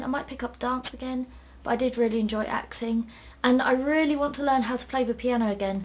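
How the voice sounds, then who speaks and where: The speaker talks very fast in a South East London accent. The intonation is monotone and flat. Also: woman. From South East London, England. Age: 19. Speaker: book vlogger. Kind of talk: casual Q&A vlog. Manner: chatty.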